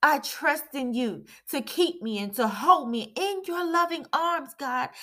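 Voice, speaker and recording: The voice is raised and projected, with a bright, sharp tone and lively intonation at a very slow pace. The recording is very clean, with a silent background. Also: woman. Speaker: prayer leader. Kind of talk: fervent prayer. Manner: earnest, pleading; devout, rhythmic.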